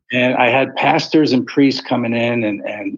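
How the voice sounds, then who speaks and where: A man with an American accent in a plain, everyday voice, medium in pitch with fairly even intonation. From Philadelphia, US. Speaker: author. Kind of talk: interview testimony.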